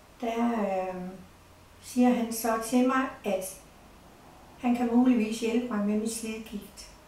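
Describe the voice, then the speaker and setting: Very slow, monotone, flat delivery from a fairly high-pitched woman, with noticeable background noise and audible room echo. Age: 70s. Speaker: patient giving testimonial. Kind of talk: testimony.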